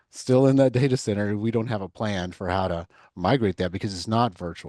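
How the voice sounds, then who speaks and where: A man with a Texas accent speaks in a fairly low, dark, mellow voice with lively intonation. The sound is dry and close with no echo. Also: quiet background. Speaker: cloud consultant. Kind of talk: mock sales discovery call demo; podcast interview.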